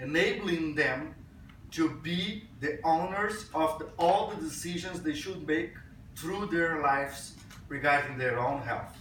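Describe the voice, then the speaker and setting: Amid noticeable background noise and audible room echo, a man speaks at a fairly slow pace. His pitch is fairly high, with ordinary variation. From Brazil. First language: Portuguese. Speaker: physician and health IT speaker. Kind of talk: conference talk. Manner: hesitant, with fillers.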